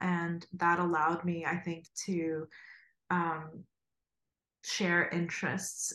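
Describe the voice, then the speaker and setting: A woman talks at a fairly slow pace in a fairly low pitch. The recording is very clean, with a silent background. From Ukraine, Kharkiv; immigrated to US as a child. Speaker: graphic designer and educator. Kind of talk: casual interview.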